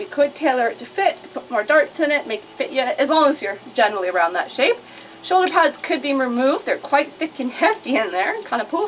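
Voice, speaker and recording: A woman mumbles in a high voice with very wide pitch swings. Background noise is noticeable. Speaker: vintage clothing shop owner. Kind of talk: casual product showcase to camera. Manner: fast, chatty; mumbling.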